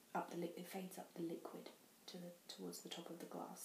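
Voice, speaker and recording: With a British accent, a soft-spoken woman talks in a fairly low pitch with monotone, flat intonation, over noticeable background noise. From England. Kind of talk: ASMR show and tell. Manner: soft-spoken, quiet.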